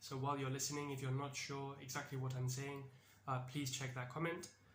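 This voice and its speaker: In a British accent, a man talks at a fairly quick pace with a fairly high pitch and monotone, flat intonation. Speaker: English teacher. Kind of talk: casual educational talk to camera. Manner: friendly, conversational.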